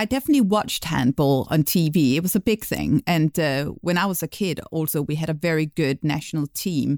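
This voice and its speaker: A woman with a Danish accent speaks at a fairly quick pace, her very deep, low pitch touched by vocal fry and ordinary pitch variation. The recording is very clean with a silent background, and the sound is dry and close with no echo. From Denmark. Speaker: podcast host. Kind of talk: podcast discussion.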